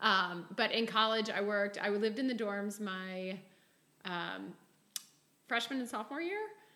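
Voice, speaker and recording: There is audible room echo as a woman speaks with ordinary pitch variation and long, frequent pauses. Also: medium pitch for a woman, moderate pace. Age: 40s. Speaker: entrepreneur, sales team leader. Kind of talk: interview podcast.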